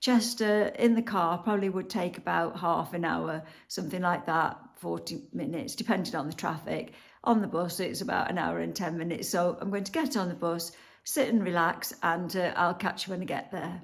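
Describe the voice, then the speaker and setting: A woman speaks at a moderate pace with a fairly low pitch and vocal fry. Her pitch variation is ordinary. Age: 60s. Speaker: lifestyle vlogger, retiree. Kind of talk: casual vlog chat to camera. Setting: outdoors in a busy city street. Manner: chatty, with frequent fillers.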